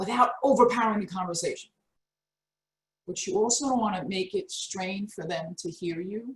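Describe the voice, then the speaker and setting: Loud and animated, a woman speaks at a moderate pace with very wide pitch swings. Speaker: career coach. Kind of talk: webinar presentation. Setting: video call.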